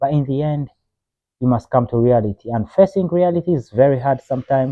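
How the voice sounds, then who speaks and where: Using lively intonation, a man speaks with an African accent. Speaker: video blogger. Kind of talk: opinion monologue. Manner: impassioned; hesitant fillers.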